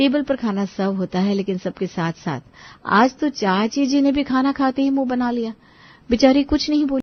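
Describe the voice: A woman talks in a high voice. Her pitch moves up and down in an ordinary way. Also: moderate pace.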